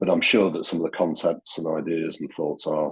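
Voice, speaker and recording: Someone with a Yorkshire accent speaks at a fairly quick pace. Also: man. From Yorkshire, England. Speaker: newly elected charity trustee, bereaved parent. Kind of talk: self-introduction at online meeting. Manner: hesitant, many fillers.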